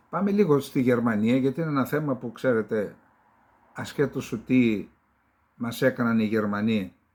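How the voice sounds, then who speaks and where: A man talks in a plain, everyday voice. His pitch is medium, his pace fairly slow and his pitch variation ordinary. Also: big swings in loudness. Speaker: geopolitical commentator. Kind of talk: solo political commentary show. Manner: conversational, with fillers.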